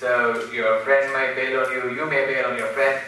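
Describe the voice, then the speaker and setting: There is audible room echo along with noticeable background noise. Through it, a man talks at a moderate speed. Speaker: entrepreneur, speaker. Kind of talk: lecture. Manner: animated.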